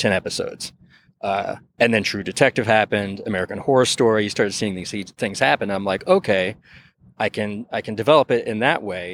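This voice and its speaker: A plain, everyday voice moves at a fairly quick pace with ordinary pitch variation, heard in a dry, close sound with no echo on a very clean recording with a silent background. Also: man. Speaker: TV writer. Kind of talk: interview. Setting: outdoors, on location.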